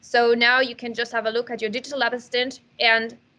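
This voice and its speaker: With a non-native accent, a woman talks at a moderate pace in a high voice with a bright, sharp tone. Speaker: neuroscientist presenting a product webinar. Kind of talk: webinar presentation.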